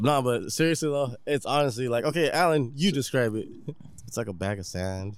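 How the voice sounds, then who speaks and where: With an American accent, a man speaks at medium pitch. His pace is fairly quick and his intonation lively. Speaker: podcast host. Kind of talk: casual chat. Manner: animated.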